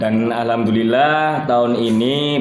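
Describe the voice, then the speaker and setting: Over noticeable background noise and audible room echo, a man talks at a fairly slow pace with fairly even intonation. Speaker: student podcast host. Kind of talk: casual podcast chat.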